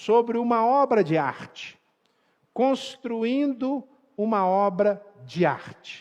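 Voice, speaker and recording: A man talks at a high pitch with ordinary pitch variation over a quiet background. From Brazil, Minas Gerais (Belo Horizonte). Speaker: pastor. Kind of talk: sermon.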